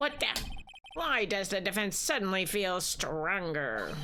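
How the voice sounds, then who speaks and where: In a put-on character voice, a woman speaks at medium pitch and a fairly slow pace, with clear background noise behind her. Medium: game stream. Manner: pompous.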